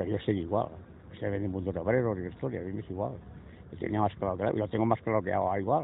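A man's pitch varies in an ordinary way as he talks very fast. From Spain, Castellón province. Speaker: former political prisoner. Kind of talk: testimony. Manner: halting, repetitive.

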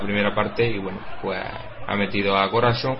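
Fairly quick and monotone, a man's fairly low voice comes through with noticeable background noise and flat intonation. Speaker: football match commentator. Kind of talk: live sports commentary and analysis.

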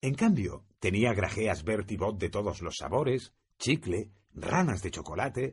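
Over a quiet background, someone reads in a natural voice.

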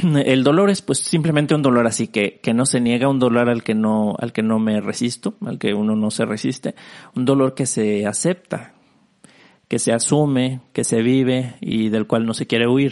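A man speaks at a medium pitch and a moderate pace. His pitch varies in an ordinary way. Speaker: podcast host. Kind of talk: solo reflective monologue. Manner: low energy, subdued; halting, many fillers and repetitions.

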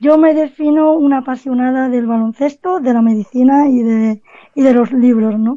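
With ordinary pitch variation, a woman speaks in a high voice at a moderate pace. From Cádiz, Andalusia, Spain. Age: 20s. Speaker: author and basketball writer. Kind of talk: radio interview. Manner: halting, repeats words.

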